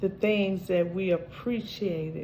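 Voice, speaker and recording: A woman talks at a very slow pace in a fairly low pitch, her dark, mellow tone somewhat breathy, with audible room echo. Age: 60s. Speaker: vlogger. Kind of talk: casual chat.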